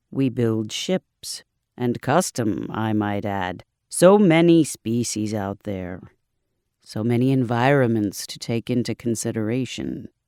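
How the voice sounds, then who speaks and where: A man puts on a character voice, resonant and medium in pitch, speaking at a fairly slow pace. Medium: read story. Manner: calm, measured, formal.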